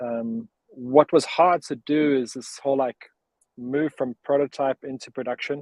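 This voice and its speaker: A man with a South African accent, medium pitch and fairly even intonation, at a fairly slow pace, in a dry, close sound with no echo. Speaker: startup cofounder. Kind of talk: interview. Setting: live video stream.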